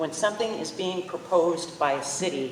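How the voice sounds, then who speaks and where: Fairly low-pitched speech from a woman, with audible room echo and noticeable background noise. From central Illinois. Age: 70s. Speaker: public commenter. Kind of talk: public comment at town forum. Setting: public forum in performing arts center.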